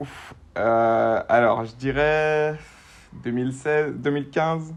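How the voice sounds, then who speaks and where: Audible room echo surrounds a voice speaking at a very slow pace with fairly even intonation. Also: man, fairly high pitch for a man. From Guadeloupe. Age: 20s. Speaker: street workout athlete. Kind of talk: casual interview. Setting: remote call from bed.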